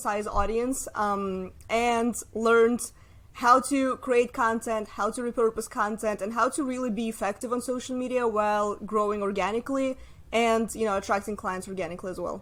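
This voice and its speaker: A woman talks with a Russian accent at a moderate pace. Her pitch is fairly high and her intonation fairly even. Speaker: social media marketer. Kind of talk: casual interview.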